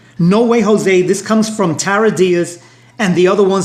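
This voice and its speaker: A man talks at a moderate pace in a high pitch. Noticeable background noise and audible room echo surround his voice. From New York (Brooklyn). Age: 60s. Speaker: union leader. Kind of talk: interview discussion.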